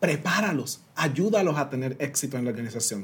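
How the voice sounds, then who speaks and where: A man talks with a Puerto Rican accent. His voice is somewhat breathy. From Puerto Rico (San Sebastián). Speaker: diversity consultant and speaker. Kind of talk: interview.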